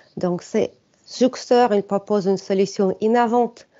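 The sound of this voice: Speaking at a moderate pace with a non-native accent, a woman has a medium pitch, a dark, mellow tone and ordinary pitch variation. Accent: foreign, non-French.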